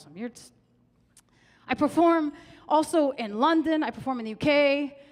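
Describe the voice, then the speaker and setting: In an American accent, a woman speaks with a high pitch, an animated tone and very wide pitch swings. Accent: American accent, sounds like a getaway driver. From US (Palestinian American). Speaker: comedian. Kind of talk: stand-up.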